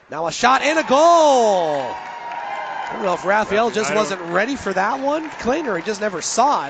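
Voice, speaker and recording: A man's high pitch with very wide pitch swings at a moderate pace, amid crowd noise in the background. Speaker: radio play-by-play announcer. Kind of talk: live sports play-by-play broadcast.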